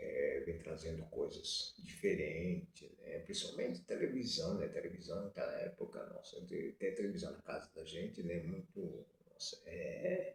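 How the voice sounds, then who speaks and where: A man at a fairly slow pace with hardly any pauses. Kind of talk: casual talk to camera. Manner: halting, many fillers and repetitions.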